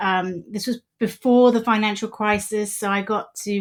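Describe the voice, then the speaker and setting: A woman's fairly high voice in a British accent, monotone and flat in intonation, at a moderate pace. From England, UK, raised in Polish immigrant family. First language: Polish. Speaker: journalist and editor. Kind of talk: interview conversation.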